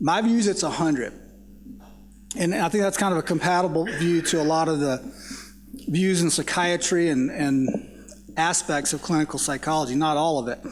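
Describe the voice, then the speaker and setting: The speaker, in a Southern US accent, leaves long, frequent pauses. Pitch varies in an ordinary way, and the loudness stays very even. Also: man, fairly high pitch for a man, fairly quick pace. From US South. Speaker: psychology professor. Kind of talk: panel discussion.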